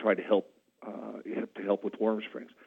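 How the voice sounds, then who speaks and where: Here is a man with a West Coast accent. His pitch sits fairly low. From central Oregon, US. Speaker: county commissioner. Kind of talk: candidate interview.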